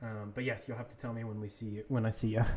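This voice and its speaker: A man talks at a fairly quick pace and a medium pitch. His voice is somewhat breathy. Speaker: video game streamer. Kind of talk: casual live gaming stream chat.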